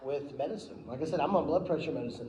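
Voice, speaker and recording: A man talks loudly at a fairly high pitch with ordinary pitch variation. Audible room echo is present. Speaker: promotional company owner giving a club talk. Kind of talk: speech to a club meeting.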